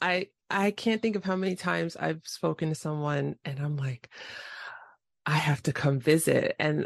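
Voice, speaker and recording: A woman with a normal speaking voice and an American accent talks at a fairly slow pace with ordinary pitch variation, recorded dry and close with no echo against a quiet background. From New York City, the Bronx. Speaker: podcast host. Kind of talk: casual interview.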